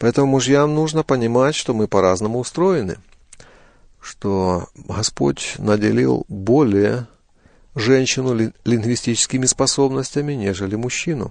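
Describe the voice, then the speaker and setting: This man has a normal speaking voice at a medium pitch, with lively intonation. He talks at a fairly slow pace against a quiet background. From eastern Ukraine, Donetsk region. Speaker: pastor and family counselor. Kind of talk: interview.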